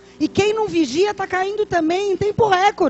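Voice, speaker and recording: Amid noticeable background noise, a woman with an extremely high pitch talks at a moderate pace with ordinary pitch variation. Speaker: pastor. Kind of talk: sermon.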